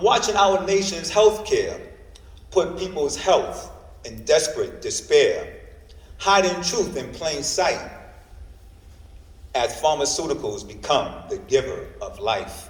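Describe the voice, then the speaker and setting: Over noticeable background noise, a man speaks at a very slow pace with long, frequent pauses and big swings in loudness. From New York. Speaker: poet. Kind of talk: spoken word poetry performance. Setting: library reading.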